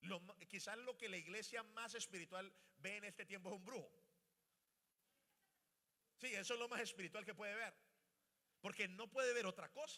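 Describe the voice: A man talks at a moderate pace with a high pitch and ordinary pitch variation. His tone is bright and sharp, broken by long, frequent pauses.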